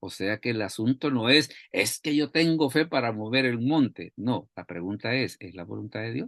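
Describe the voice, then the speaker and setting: A man uses lively intonation at a moderate pace, the background quiet. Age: 60s. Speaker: Bible teacher. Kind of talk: bible study talk. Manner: repetitive, halting.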